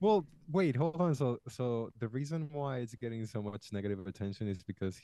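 The voice has a dark, mellow tone and a Spanish accent. Its intonation is lively. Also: man. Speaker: podcast co-host. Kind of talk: casual chat.

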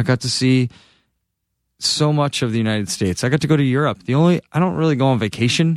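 A plain, everyday voice from a man with an American accent, medium pitch, ordinary pitch variation, and a fairly quick pace, on a very clean recording with a silent background. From Massachusetts. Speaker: touring rock band musician. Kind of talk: casual chat.

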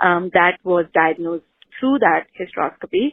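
A woman has an ordinary speaking voice at a medium pitch, with ordinary pitch variation. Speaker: caller. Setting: phone call.

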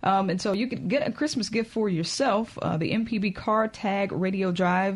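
A woman speaks in a somewhat breathy voice. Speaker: radio host. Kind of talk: casual chat.

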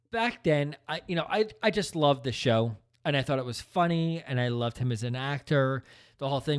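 A man speaks at a moderate pace with lively intonation and a fairly high pitch. The recording is very clean, with a silent background. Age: 40s. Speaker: podcast co-host. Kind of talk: casual chat.

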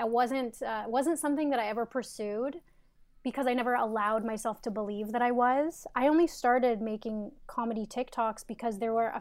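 A woman with a Canadian accent and a plain, everyday voice, fairly high-pitched, fairly quick, with fairly even intonation. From Canada. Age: 20s. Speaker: content creator. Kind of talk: interview. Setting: video call.

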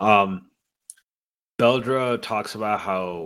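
In a very clean recording with a silent background, a man uses a normal speaking voice, fairly low in pitch with fairly even intonation. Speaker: podcast host. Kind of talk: casual chat.

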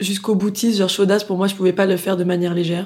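In a dark, mellow tone, a woman speaks at medium pitch and a very fast pace with monotone, flat intonation. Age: 20s. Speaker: singer. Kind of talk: casual chat.

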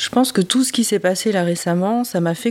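A woman talks at a moderate pace. Her medium pitch shows ordinary variation. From France. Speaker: interviewee sharing adoption story. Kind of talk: testimony. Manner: hesitant, many fillers.

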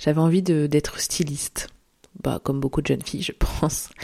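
The woman's pitch is very deep and low, with a dark, mellow tone. She keeps her intonation fairly even. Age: 30s. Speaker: podcast host. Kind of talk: solo monologue podcast.

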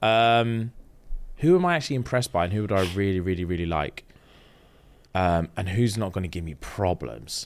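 Speaking in a London accent at a moderate pace, a man with a very deep, low voice uses lively intonation and long, frequent pauses on a very clean recording with a silent background. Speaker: podcast host. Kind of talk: casual chat. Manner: animated.

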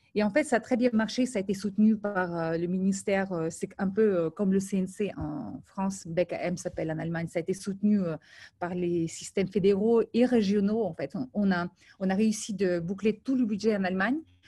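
In a very clean recording with a silent background, a woman speaks at a moderate pace with a medium pitch, a dark, mellow tone and a somewhat breathy quality. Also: ordinary pitch variation. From Ukraine and Moldova. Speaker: film industry professional. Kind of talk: interview.

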